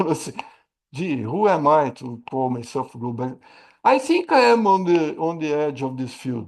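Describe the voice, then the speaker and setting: A man's fairly high-pitched voice proceeds at a moderate pace. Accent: Portuguese. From Brazil. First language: Portuguese. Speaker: AI risk management expert and trainer. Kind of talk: webinar Q&A. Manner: halting, many repetitions.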